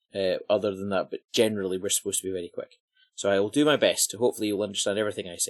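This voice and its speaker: With an Edinburgh accent, a man talks at a very fast pace in a fairly low voice and fairly even intonation. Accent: soft Edinburgh Scottish. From Scotland, Edinburgh. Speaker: podcast host.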